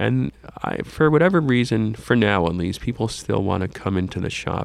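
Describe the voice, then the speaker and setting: A man with an American accent, vocal fry and very wide pitch swings over a quiet background. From New Jersey, Bergen County. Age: 40s. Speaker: comic shop owner. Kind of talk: casual interview. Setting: in his shop.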